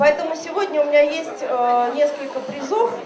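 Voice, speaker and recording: Against crowd noise in the background, a woman speaks at a fairly slow pace with a high pitch. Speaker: news presenter. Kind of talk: award speech. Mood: warm, playful. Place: stage. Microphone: handheld.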